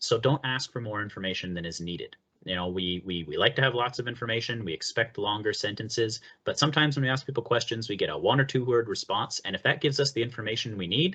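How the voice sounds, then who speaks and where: His tone comes across bright and sharp. The man speaks very fast. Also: medium pitch for a man, ordinary pitch variation. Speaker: accessibility presenter. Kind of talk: webinar presentation. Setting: webinar.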